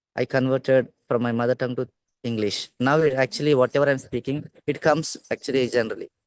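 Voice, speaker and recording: This man speaks very fast with a Telugu accent and fairly even intonation. The sound is dry and close, with no echo. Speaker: English learner. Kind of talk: casual chat. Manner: loud.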